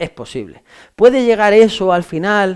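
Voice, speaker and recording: A man talks in an animated tone. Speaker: law exam-prep teacher. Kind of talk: lecture. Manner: fast.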